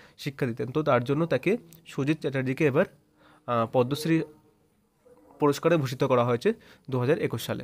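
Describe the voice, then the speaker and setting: With a plain, everyday voice and fairly high pitch, a man speaks with ordinary pitch variation in a dry, close sound with no echo. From West Bengal, Nadia district. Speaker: exam prep tutor. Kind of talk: tutorial. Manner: repetitive, casual.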